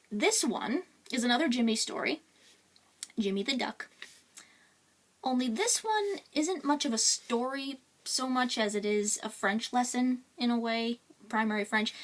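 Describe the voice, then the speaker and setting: With long, frequent pauses, a woman speaks at a moderate pace in a high pitch with ordinary pitch variation, over noticeable background noise. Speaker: children's book author and illustrator. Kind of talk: read-aloud children's picture book. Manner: casual, unrehearsed.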